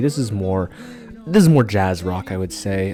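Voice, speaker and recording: Over noticeable background noise, a man speaks at a moderate pace in a fairly low pitch. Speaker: music vlogger. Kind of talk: casual rant to camera. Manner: hesitant, many fillers.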